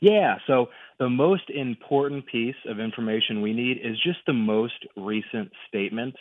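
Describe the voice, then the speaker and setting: With an American accent and a plain, everyday voice, a man talks at a fairly slow pace, medium in pitch with ordinary pitch variation. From US Midwest. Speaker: annuity specialist. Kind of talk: radio interview. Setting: phone call.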